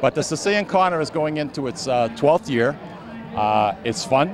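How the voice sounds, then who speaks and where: A man talking at a very fast pace in a Boston accent, fairly high-pitched with very wide pitch swings, over noticeable background noise. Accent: Boston-area New England. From Lawrence, Massachusetts. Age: 60s. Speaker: festival organizer and radio co-host. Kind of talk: interview. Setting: outdoors at a street festival.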